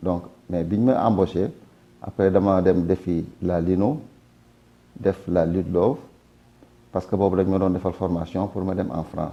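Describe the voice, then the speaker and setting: With a Senegalese accent, a man talks at a fairly slow pace in a very deep, low, dark and mellow voice with ordinary pitch variation and long, frequent pauses. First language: Wolof (speaking French). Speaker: retired print worker. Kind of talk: testimony.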